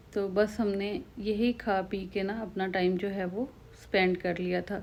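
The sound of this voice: A woman talks at a fairly slow pace in a medium pitch. Her tone is slightly mellow, with little pitch movement.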